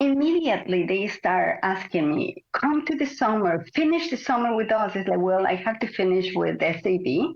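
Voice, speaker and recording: A woman speaks with a Spanish accent, and her pitch swings very widely. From Mexico. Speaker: Pilates teacher and former ballet dancer. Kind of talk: interview.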